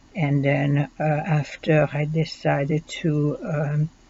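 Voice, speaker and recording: A woman speaks in a French accent. Her pitch is very deep and low. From Belgium. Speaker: student. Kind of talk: self-introduction. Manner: halting, many fillers.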